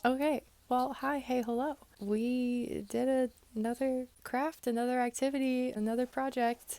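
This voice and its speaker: At a moderate pace, a woman with a high pitch speaks in a monotone, flat intonation. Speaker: sewing vlogger. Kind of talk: casual vlog talk. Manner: casual, rambling with fillers.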